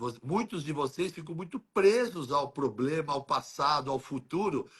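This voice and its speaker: A man's fairly high, bright and sharp voice with lively intonation. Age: 60s. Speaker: health educator. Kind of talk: casual chat.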